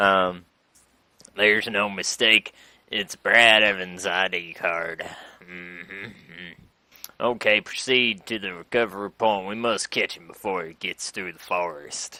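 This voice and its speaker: Doing a put-on character voice, a man speaks fairly slowly at a fairly low pitch, his intonation fairly even, with big swings in loudness and long, frequent pauses. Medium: game stream. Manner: gruff military orders.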